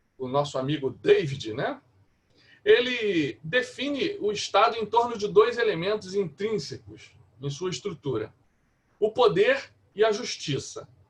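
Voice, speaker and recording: A man with a high pitch speaks in very wide pitch swings. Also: fairly slow pace. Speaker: pastor. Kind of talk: lecture. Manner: halting.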